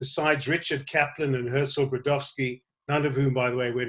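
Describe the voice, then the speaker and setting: At a moderate pace, a man speaks in a medium pitch with monotone, flat intonation. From South Africa, Western Cape (Somerset West). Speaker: tour guide and educator. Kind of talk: online talk to a group. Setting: online session, on a veranda.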